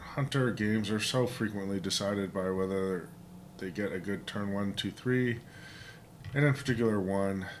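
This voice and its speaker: A man speaks in a relaxed tone with ordinary pitch variation. There is audible echo from the room. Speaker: gaming video host. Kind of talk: gameplay commentary. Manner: casual, relaxed.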